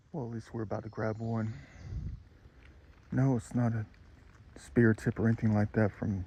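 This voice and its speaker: Somewhat breathy and dark, mellow in tone, a man speaks at medium pitch with fairly even intonation. His pace is moderate, broken by long, frequent pauses. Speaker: outdoor treasure-hunting vlogger. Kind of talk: casual vlog narration.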